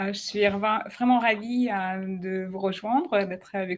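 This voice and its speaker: A woman with a slight non-native accent speaks at a medium pitch with fairly even intonation. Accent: slight foreign. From Ukraine and Russia. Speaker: digital artist. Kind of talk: live video interview. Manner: halting, many hesitations.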